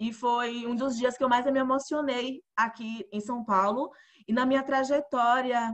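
Speaking at a fairly slow pace, a woman keeps a fairly even intonation. Her pitch is high. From Bahia, Brazil (interior, Alagoinhas). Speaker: podcast host. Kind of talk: casual interview.

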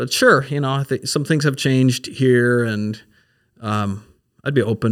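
On a very clean recording with a silent background, a man with an American accent and an unremarkable speaking voice talks at a moderate pace, his medium pitch showing ordinary variation. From Minnesota. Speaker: pastor. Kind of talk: casual chat.

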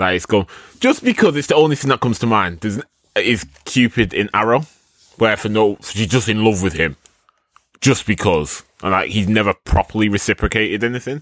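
Here is a man with a plain, everyday voice at fairly low pitch and ordinary pitch variation. He talks at a fairly quick pace, and the sound is dry and close with no echo. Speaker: podcast host. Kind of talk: casual chat.

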